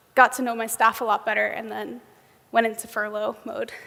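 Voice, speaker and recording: A woman with a New York accent speaks in a monotone, her fairly high pitch staying flat. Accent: American (New York). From US, New York. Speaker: software engineer, conference speaker. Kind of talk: conference keynote talk. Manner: frequent um fillers.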